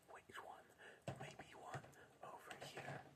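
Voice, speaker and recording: Someone whispers. The delivery moves fairly slowly. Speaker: ASMR creator. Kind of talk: ASMR whispering game video. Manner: whispered, repetitive.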